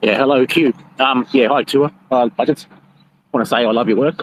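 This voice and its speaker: In an Australian accent, a man speaks with ordinary pitch variation, captured as a dry, close sound with no echo. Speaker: bitcoin miner, audience participant. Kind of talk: casual question from audience. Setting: online audio room. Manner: hesitant, many fillers.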